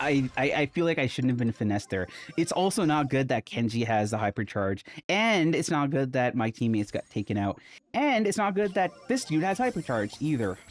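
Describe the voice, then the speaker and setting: A man's fairly high voice at a fairly quick pace, with very wide pitch swings, very even loudness and music in the background. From India, with high school years in Calgary, Canada. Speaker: gaming streamer. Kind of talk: casual gameplay commentary. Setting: home recording studio. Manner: animated.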